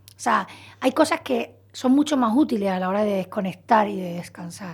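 A woman's pitch swings very widely as she speaks. The recording is very clean, with a silent background. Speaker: psychologist. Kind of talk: radio interview. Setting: radio studio.

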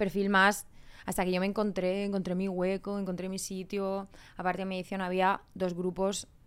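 At a moderate pace, a woman speaks in a medium-pitched voice with flat, monotone intonation. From Spain, Murcia. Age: 30s. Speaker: reality TV contestant and influencer. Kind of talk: casual chat.

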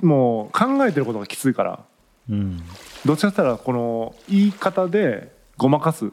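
This man's pitch sits fairly high and swings very widely as he talks at a moderate pace. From Japan, Tagawa, Fukuoka. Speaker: podcast co-host. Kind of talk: casual chat.

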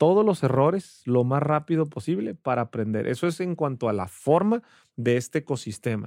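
The man's voice is fairly high, with a dark, mellow tone and lively intonation. He speaks at a moderate pace, in a dry, close sound with no echo. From Ensenada, Baja California, Mexico. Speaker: entrepreneur and business coach. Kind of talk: casual interview. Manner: animated.

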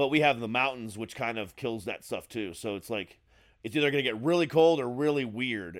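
Against a silent background on a very clean recording, the speaker uses lively intonation at a moderate pace. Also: man. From Florida (born in Ohio). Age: 40s. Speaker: radio host. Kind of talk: casual chat. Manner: stumbling over words.

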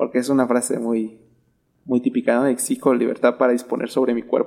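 A man's voice of dark, mellow tone. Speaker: podcast co-host. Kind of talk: casual chat. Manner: halting.

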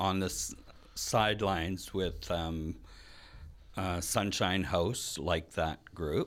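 In a Canadian accent, a man speaks very slowly with a very deep, low pitch and ordinary pitch variation. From Red Lake, northwestern Ontario, Canada. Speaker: drag performer. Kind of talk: interview.

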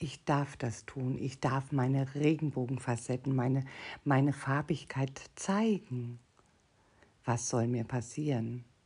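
At a very slow pace, a woman speaks in a very deep, low pitch with a dark, mellow tone, somewhat breathy, and with ordinary pitch variation. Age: 50s. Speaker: podcast host, personal development coach. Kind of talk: solo podcast monologue.

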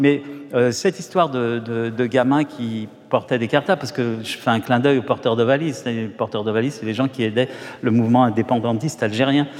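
A man speaks fairly quickly at a medium pitch while background noise is noticeable. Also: ordinary pitch variation. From Paris, France. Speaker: novelist. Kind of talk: literary interview on stage.

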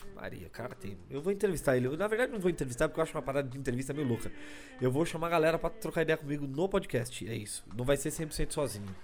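Speaking at a very fast pace, a man uses a fairly high pitch and lively intonation. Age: 30s. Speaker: podcast host, stand-up comedy scene. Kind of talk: casual solo monologue. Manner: talkative, fast.

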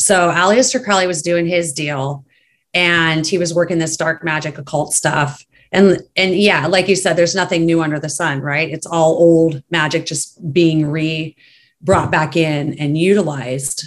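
A woman's fairly low, fairly evenly intoned voice at a fairly slow pace, an ordinary speaking voice. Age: 40s. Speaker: podcast guest, co-host of another podcast. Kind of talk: casual chat.

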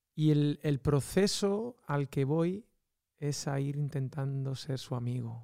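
A man's fairly high voice at a very slow pace, in a very clean recording with a silent background. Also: ordinary pitch variation. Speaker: podcast host. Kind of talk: casual chat.

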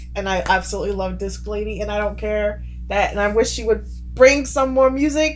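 A woman is heard over noticeable background noise, with audible room echo around her voice. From UK. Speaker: co-host. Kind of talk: casual chat.

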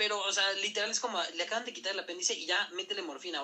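A man with a high pitch and a Mexican accent talks at a very fast pace in a raised, projected voice. Noticeable background noise is present. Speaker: podcast host, medical professional. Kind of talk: casual educational chat.

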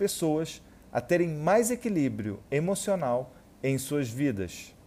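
Speaking at a fairly slow pace, a man with a fairly high pitch and a dark, mellow tone moves through very wide pitch swings. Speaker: hypnotherapist. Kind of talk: guided self-hypnosis. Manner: slow with deliberate pauses.

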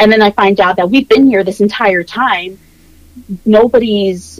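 A woman at medium pitch and a moderate pace, in a General American accent, with a normal speaking voice. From Virginia Beach, Virginia, US. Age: 20s. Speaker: social media creator. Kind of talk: casual interview chat.

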